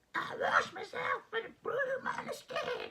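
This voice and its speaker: An extremely high-pitched, squeaky, raspy voice comes through in a put-on character voice. The pace is fairly slow. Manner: comedic, goofy.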